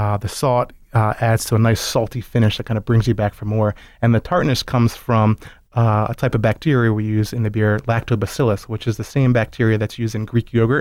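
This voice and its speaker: A man with an American accent speaks at a fairly quick pace, his medium pitch carried in a fairly even intonation. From Baltimore, Maryland. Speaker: brewery co-founder. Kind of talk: casual interview. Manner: hesitant, many filler words.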